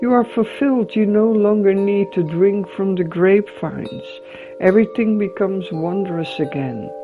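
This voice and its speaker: With music in the background, a woman talks at a moderate pace in a calm, gentle tone, her medium pitch varying an ordinary amount. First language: not English. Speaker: tarot reader. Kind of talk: guided visualization tarot reading.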